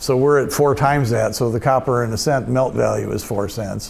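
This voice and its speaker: At a moderate pace, a man of medium pitch speaks with fairly even intonation, with audible room echo and noticeable background noise. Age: 70s. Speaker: retired coin magazine editor, convention speaker. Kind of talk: convention talk with audience Q&A. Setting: stage with audience. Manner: halting, many repeated words.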